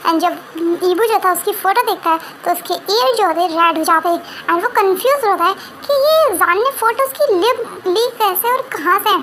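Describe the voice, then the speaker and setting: Over clear background noise, a woman with a squeaky voice and an extremely high pitch talks at a fairly quick pace with very even loudness. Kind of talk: casual Hinglish story recap. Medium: read story. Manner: informal, repetitive fillers, self-correcting.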